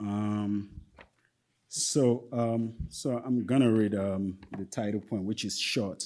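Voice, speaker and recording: A man speaks very slowly in a fairly low pitch, with a dark, mellow tone. His intonation stays fairly even. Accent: Nigerian. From Nigeria (Yoruba-speaking area). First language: Yoruba. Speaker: poet. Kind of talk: poetry reading with casual commentary. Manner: halting, many fillers.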